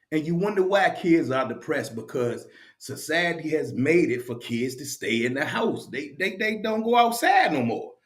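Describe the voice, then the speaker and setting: With audible room echo around him, a man speaks at a fairly slow pace, his high pitch moving in very wide swings. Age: 50s. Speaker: video blogger. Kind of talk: casual monologue. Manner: halting, repetitive.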